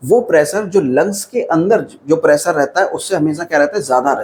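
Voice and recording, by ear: A man speaks at a fairly high pitch and a fairly quick pace, with ordinary pitch variation. His tone is slightly mellow with a slightly husky edge.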